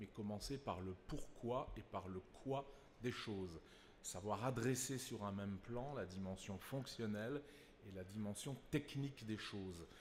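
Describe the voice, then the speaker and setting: A man talks at a fairly slow pace, medium in pitch with ordinary pitch variation. Audible room echo surrounds his voice. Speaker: consulting company executive. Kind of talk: conference panel talk.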